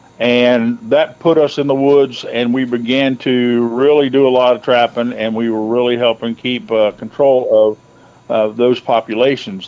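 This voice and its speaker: A man with an American accent talks at a medium pitch in an ordinary speaking voice with fairly even intonation. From central Ohio. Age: 50s. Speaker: hunter and trapper. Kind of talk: casual interview.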